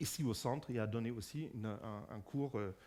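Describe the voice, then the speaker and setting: In a German accent, a man speaks at medium pitch and a moderate pace with ordinary pitch variation. The recording is very clean, with a silent background. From Germany. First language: German (speaking French). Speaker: physicist and lecturer. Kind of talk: public lecture. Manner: halting, many fillers and repetitions.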